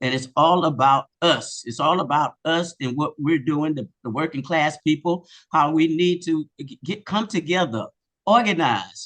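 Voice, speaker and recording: A man speaks at a fairly slow pace in a fairly high voice with an American accent and ordinary pitch variation, the sound dry and close with no echo over a quiet background. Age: 60s. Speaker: radio station volunteer. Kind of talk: rally speech. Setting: community hall rally with audience. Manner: halting.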